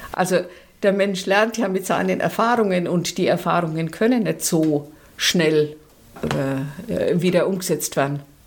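Her voice is a plain, everyday voice: a woman speaking at a fairly low pitch and fairly slow pace, with ordinary pitch variation and very even loudness. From Nuremberg, Franconia. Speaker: social worker, longtime communist party member. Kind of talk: personal testimony interview.

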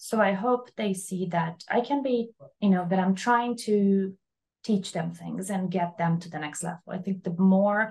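Somewhat breathy and at a fairly slow pace, this voice has ordinary pitch variation and a Portuguese accent. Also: woman. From Brazil. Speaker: architect. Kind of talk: interview.

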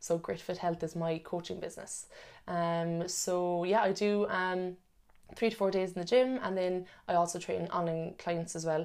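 A woman with a Cork accent speaks at a moderate pace in a fairly low pitch with fairly even intonation, on a very clean recording with a silent background. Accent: Cork Irish. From Ireland, Cork. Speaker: personal trainer and nutrition coach. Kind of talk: casual interview. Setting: in person.

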